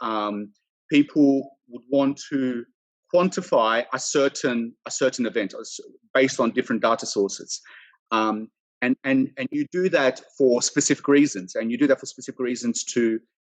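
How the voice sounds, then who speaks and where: This man talks in an Australian accent at medium pitch. His pitch varies an ordinary amount while his loudness swings widely. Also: moderate pace, dry, close sound with no echo. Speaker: company founder and CEO, credit risk expert. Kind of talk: online panel discussion.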